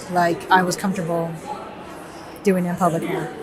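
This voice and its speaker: The speech comes at a fairly quick pace. Audible room echo and noticeable background noise surround it. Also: woman. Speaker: artist vlogger. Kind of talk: vlog monologue. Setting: art fair, public venue. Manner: quiet, trying not to speak loudly.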